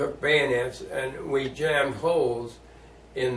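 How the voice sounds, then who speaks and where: Noticeable background noise runs under a man's talking. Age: 80s+. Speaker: war veteran. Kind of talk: interview answer.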